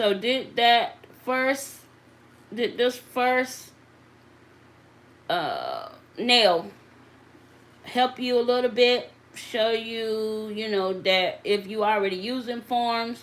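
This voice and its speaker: In a Southern US accent, a woman with a fairly high pitch speaks very slowly, with ordinary pitch variation and long, frequent pauses. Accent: Southern drawl. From US South. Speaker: nail technician. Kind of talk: live tutorial. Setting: livestream. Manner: conversational, interactive.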